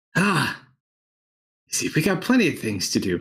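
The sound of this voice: A man does a put-on character voice, pitched high. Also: moderate pace.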